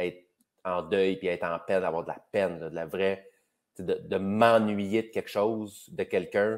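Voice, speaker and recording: Against a quiet background, a man with a Quebec accent talks in a fairly low pitch with fairly even intonation. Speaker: comedian. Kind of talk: casual chat. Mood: reflective, warm. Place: home room. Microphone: video call.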